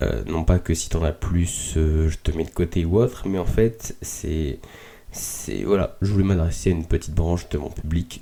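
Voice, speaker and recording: This man has a very deep, low pitch and a dark, mellow tone. His voice is somewhat breathy. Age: 20s. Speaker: podcast host. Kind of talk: casual reflective monologue. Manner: halting with many fillers.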